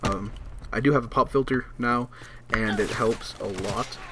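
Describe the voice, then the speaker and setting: Quiet and at medium pitch, a man speaks. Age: young. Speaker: gaming YouTuber. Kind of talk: casual update vlog over gameplay. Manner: halting, many fillers.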